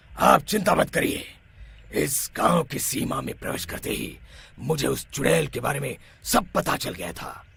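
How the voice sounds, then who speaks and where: In a cartoonish character voice, a man sounds raspy and fairly high-pitched, moving at a moderate pace. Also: big swings in loudness. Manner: authoritative.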